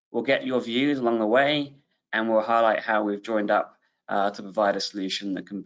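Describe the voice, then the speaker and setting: In a British accent, a man speaks at a moderate pace and medium pitch with ordinary pitch variation. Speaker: webinar host, business executive. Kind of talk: webinar presentation. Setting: online webinar.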